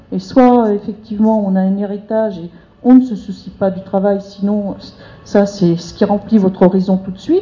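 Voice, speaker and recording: A woman with an unremarkable speaking voice talks at a moderate pace and medium pitch, with fairly even intonation but big swings in loudness. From rural France. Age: 50s. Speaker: debate participant, unemployed social worker. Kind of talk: public group discussion.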